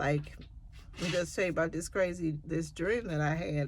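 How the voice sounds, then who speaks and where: Vocal fry colors this woman's very deep, low pitch. She speaks at a moderate pace. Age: 50s. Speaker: nursing student and LPN vlogger. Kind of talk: casual vlog monologue. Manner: rambling, hesitant with fillers.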